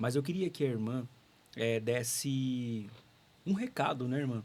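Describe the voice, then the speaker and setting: A man talks at a fairly slow pace. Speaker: radio host. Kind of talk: interview.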